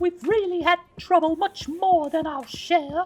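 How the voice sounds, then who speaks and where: A woman uses a put-on character voice at an extremely high pitch. She speaks at a moderate pace with ordinary pitch variation. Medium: read story.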